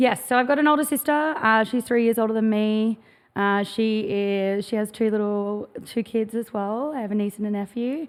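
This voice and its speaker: In an Australian accent, the speaker talks at a moderate pace with ordinary pitch variation. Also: woman, fairly high pitch for a woman. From Australia, Gold Coast, Queensland. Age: 30s. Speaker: clothing brand founder. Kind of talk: podcast interview.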